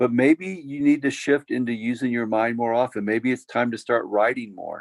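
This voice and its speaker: A man with an American accent at a moderate pace, in a dry, close sound with no echo. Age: 60s. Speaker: pastor. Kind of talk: Q&A workshop. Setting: video call.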